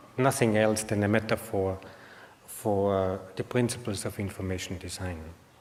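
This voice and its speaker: A man with an Austrian accent talks at a fairly slow pace with fairly even intonation, against audible room echo and noticeable background noise. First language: German. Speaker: information designer, conference speaker. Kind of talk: conference talk. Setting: stage with audience. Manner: halting, many fillers.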